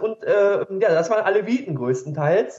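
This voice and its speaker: The pace is moderate. The intonation is lively. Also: man. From Ruhr area, Germany. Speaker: blogger and educator. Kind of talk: casual chat.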